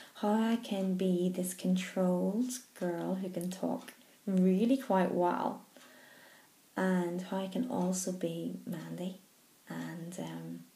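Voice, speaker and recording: Heard with audible room echo, a woman speaks at a very slow pace. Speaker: stammering charity trustee. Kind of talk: personal video message. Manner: slow, controlled; stammer.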